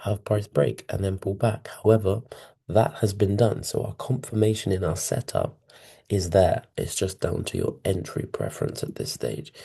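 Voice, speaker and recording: The voice has a dark, mellow tone with vocal fry and ordinary pitch variation. It moves at a moderate pace over a quiet background. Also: man, fairly low pitch for a man. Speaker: forex trading educator. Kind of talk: trading tutorial. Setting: hotel room. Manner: quiet, hushed.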